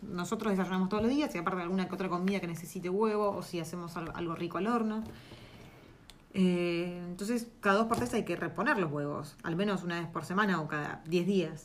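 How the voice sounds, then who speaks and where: A woman with a Rioplatense accent speaks at a fairly quick pace. Noticeable background noise and audible room echo surround her voice. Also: fairly low pitch for a woman, ordinary pitch variation. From Argentina. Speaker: podcast co-host. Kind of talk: casual chat.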